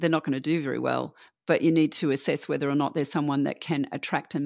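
A woman with a very deep, low pitch and vocal fry speaks with fairly even intonation in a very clean, dry, close recording with no echo and a silent background. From Australia. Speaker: venture capital investor. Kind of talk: interview conversation.

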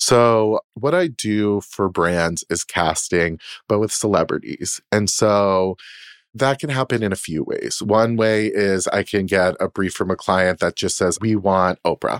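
A man with an American accent talks at a fairly slow pace and a fairly low pitch, with ordinary pitch variation. The sound is dry and close with no echo, on a very clean recording with a silent background. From Boston. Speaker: casting director. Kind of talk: casual chat. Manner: animated.

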